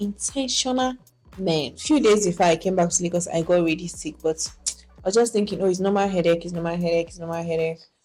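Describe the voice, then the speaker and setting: Over music in the background, the speaker goes at a very fast pace with ordinary pitch variation and big swings in loudness. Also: woman, fairly low pitch for a woman. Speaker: vlogger and documentary filmmaker. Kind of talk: casual vlog talk to camera. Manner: stammers sometimes.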